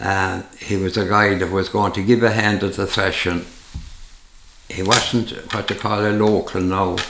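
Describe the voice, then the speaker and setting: In a rural Irish accent, a man with a fairly low pitch speaks at a fairly slow pace in a monotone, flat delivery, with audible room echo and noticeable background noise. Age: 80s+. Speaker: retired farmer. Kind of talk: casual chat. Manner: halting.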